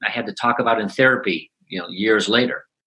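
Speaking with a Chicago accent, a man has a medium pitch and a bright, sharp tone. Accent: Chicago American. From Chicago South Side. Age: 60s. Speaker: positive psychology coach and author. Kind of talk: interview. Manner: halting.

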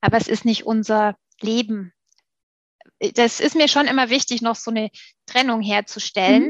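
Speaking at a moderate pace with long, frequent pauses, a woman uses a fairly high pitch and fairly even intonation in a dry, close sound with no echo. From Stuttgart, southwest Germany. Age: 40s. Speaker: PR agency managing director. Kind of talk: interview conversation.

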